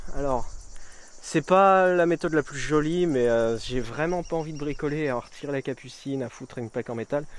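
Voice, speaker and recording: A man's fairly high pitch with ordinary pitch variation against a quiet background. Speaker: vlogger. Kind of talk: casual vlog talk to camera. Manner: hesitant, many fillers; fast.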